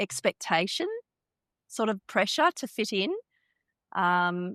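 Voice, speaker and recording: A woman with an Australian accent at a moderate pace, recorded very cleanly against a silent background, the sound dry and close with no echo. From Australia, Perth (early years in India). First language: Hindi. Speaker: lawyer and keynote speaker. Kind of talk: interview.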